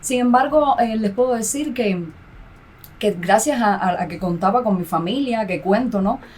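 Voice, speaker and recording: Speaking with a Cuban accent, a woman uses lively intonation at a fairly high pitch and a fairly slow pace. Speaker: graduate student and mother. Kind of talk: podcast interview. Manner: halting.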